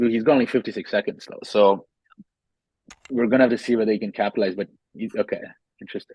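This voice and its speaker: Quiet and at a fairly quick pace, a man speaks in a medium pitch, the sound dry and close with no echo. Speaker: chess game commentator. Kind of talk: live commentary.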